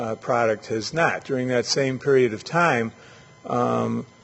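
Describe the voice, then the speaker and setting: Against noticeable background noise, a man speaks at a medium pitch and moderate pace. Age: 60s. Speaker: urban planning expert. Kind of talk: lecture. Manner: halting, with many fillers.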